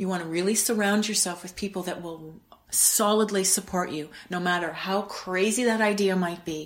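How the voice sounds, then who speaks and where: A woman talks in a plain, everyday voice with a Canadian accent. Her pitch sits at a medium level and her intonation stays fairly even. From Canada, Winnipeg. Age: 50s. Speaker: wellness coach. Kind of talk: interview.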